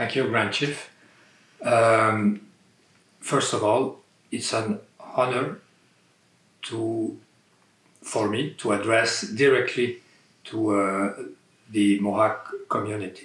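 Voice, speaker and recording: Medium-pitched male speech, very slow, with fairly even intonation and long, frequent pauses. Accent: non-native. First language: not English (English is third language). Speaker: landowner. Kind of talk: interview. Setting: in his home. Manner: halting, hesitant.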